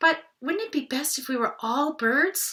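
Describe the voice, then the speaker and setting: A woman does a high-pitched, put-on character voice at a moderate pace. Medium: read story. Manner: chirpy.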